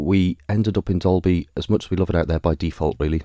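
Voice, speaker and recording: Delivered in a Manx accent, the voice has a dark, mellow tone and fairly even intonation, with a dry, close sound and no echo. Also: man. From Isle of Man, Douglas. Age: 40s. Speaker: election candidate. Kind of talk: interview.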